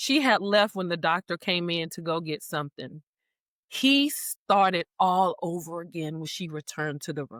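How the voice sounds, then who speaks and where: A woman speaks at a moderate pace and a fairly low pitch. The recording is very clean with a silent background and a dry, close sound with no echo. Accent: Southern US. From US South. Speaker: breast cancer survivor and author. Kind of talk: interview. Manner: talkative.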